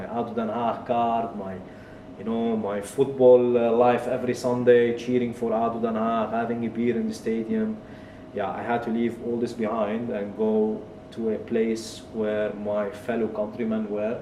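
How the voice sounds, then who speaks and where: Noticeable background noise and audible room echo accompany a man speaking in a monotone, flat intonation. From Kuwait. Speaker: tech entrepreneur and author. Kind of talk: interview, personal life story.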